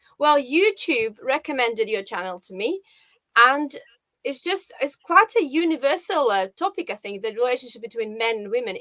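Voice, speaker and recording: A woman with a Russian accent uses a raised, projected voice with a high pitch and a bright, sharp tone. Her very wide pitch swings and big swings in loudness come through a dry, close sound with no echo. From Russia, Saint Petersburg. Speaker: live show guest, viewer. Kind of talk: casual interview.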